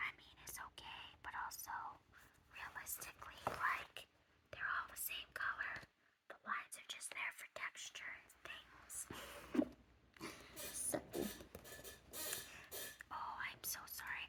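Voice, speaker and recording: Whispering at a very slow pace, a woman leaves long, frequent pauses, with big swings in loudness. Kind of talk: ASMR haul video, casual rambling to camera. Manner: soft-spoken.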